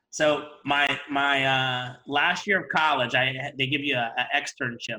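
A man with an American accent has a plain, everyday voice. It is fairly high in pitch with ordinary pitch variation. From Ohio, US Midwest. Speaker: dental hygienist and event organizer. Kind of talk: casual interview. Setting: video call.

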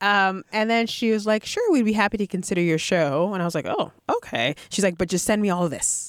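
A woman with an American accent uses a normal speaking voice at medium pitch, with ordinary pitch variation and very even loudness. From Boston. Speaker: playwright and composer. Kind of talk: interview. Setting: studio.

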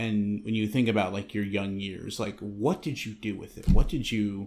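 An unremarkable speaking voice with an American accent moves at a moderate pace on a very clean recording with a silent background. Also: man. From Western Massachusetts. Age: 30s. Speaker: Coast Guard storekeeper, army veteran. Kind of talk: casual interview chat.

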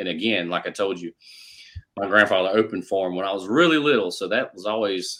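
With a Carolinas accent, a man speaks at a fairly quick pace in a bright, sharp tone. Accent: Southern US (Carolinas). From US South, South Carolina (Rock Hill). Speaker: country music singer-songwriter. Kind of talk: casual interview chat.

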